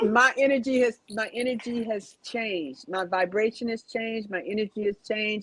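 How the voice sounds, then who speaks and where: A woman's fairly high voice, animated in tone, at a moderate pace with ordinary pitch variation and hardly any pauses. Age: 60s. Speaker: abuse survivor sharing her story. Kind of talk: interview testimony.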